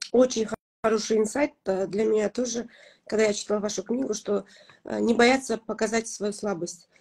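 The speech moves at a moderate pace with long, frequent pauses and fairly even intonation over a quiet background. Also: woman, fairly high pitch for a woman. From Kazakhstan. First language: Kazakh (speaking Russian). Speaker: blogger and mother; blogger. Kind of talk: interview. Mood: warm, reflective. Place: home room. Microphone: video call.

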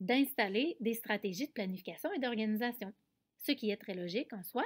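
A woman with a fairly high pitch and ordinary pitch variation speaks at a moderate pace, captured in a very clean, dry, close recording with no echo and a silent background. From Quebec, Canada. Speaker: special education teacher and researcher. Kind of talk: conference presentation. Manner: hesitant, frequent filler sounds.

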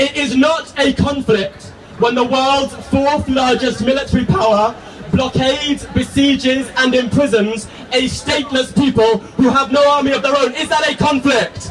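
Moderate-paced speech from a man with a British accent and extremely high pitch, fairly even intonation, and noticeable background noise. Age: young. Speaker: activist speaker. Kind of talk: protest rally speech. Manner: impassioned, rhetorical.

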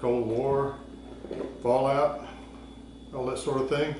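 A man speaks with ordinary pitch variation, with audible room echo and noticeable background noise behind him. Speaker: presenter. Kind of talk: casual tutorial explanation. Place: garage.

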